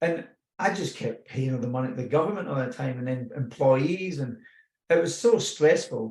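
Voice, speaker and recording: Speaking with a Scottish accent, a man has a fairly high, somewhat breathy voice. He talks at a moderate pace with lively intonation. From Scotland. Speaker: personal growth speaker. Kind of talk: personal testimony. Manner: casual, with hesitations.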